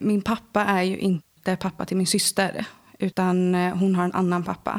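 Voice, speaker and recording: On a very clean recording with a silent background, a woman speaks at a fairly slow pace in a monotone, flat intonation. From Swedish west coast, Lysekil. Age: 20s. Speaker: interview guest sharing life story. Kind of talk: personal testimony interview. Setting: indoor room with host.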